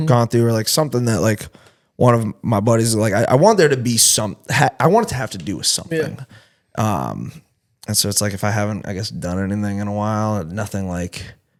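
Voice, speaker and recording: A relaxed man with an American accent at a fairly quick pace, fairly low in pitch with ordinary pitch variation, on a very clean recording with a silent background. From Massachusetts. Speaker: country music singer-songwriter. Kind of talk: podcast interview answer. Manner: casual, relaxed.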